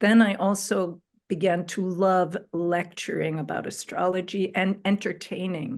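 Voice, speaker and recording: In a quiet background, a woman with a normal speaking voice talks fairly slowly at a medium pitch with fairly even intonation. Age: 60s. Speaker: spiritual astrologer. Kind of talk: interview, personal story.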